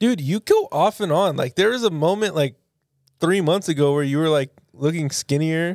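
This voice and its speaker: A man talks in an ordinary speaking voice with ordinary pitch variation and a dry, close sound with no echo. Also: fairly high pitch for a man, moderate pace. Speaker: podcast co-host. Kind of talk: casual chat.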